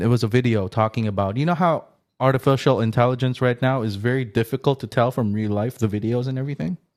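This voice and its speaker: A man with an unremarkable speaking voice, medium in pitch, at a fairly quick pace on a very clean recording with a silent background. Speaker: podcast host. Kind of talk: casual podcast interview talk.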